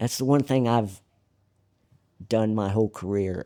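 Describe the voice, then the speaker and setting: In a Southern US accent, a man speaks at a moderate pace and fairly low pitch with a dark, mellow tone and ordinary pitch variation, the sound dry and close with no echo on a very clean recording with a silent background. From Arkansas. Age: 70s. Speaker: jockey. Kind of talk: casual chat. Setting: racetrack.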